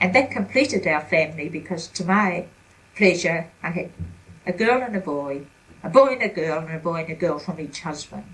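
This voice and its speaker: A woman with a New Zealand accent, fairly low pitch, a somewhat breathy voice and lively intonation. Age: 70s. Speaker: retired grandmother interviewed about her life. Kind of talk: family interview. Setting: at home.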